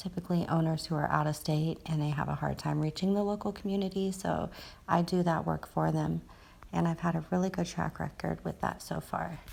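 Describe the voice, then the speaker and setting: A woman whispers at a medium pace, pausing often and at length. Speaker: social media marketer and online seller. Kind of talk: screen-share tutorial. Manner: whispering; casual, hesitant with fillers.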